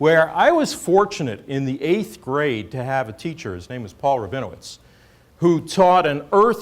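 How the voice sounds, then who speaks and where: A normal speaking voice with lively intonation, an American accent and a fairly slow pace. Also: man. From New York City. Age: 60s. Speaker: oceanographer, government chief scientist. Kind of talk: lecture.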